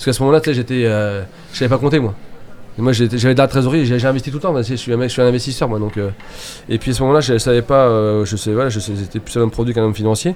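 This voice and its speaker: Over noticeable background noise, a man at medium pitch speaks at a very fast pace with ordinary pitch variation. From Mayenne, western France. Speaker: baker and business owner. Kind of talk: radio interview, casual chat. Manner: halting, many repetitions and fillers.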